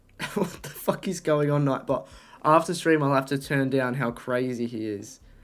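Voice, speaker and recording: Speaking at a moderate pace, a man has an animated tone, fairly high pitch, and ordinary pitch variation. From Australia. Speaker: streamer. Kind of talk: casual chat. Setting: live stream.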